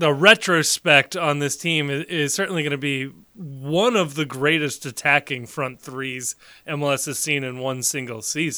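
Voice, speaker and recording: A man speaks at a fairly slow pace. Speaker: podcast host. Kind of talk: casual chat.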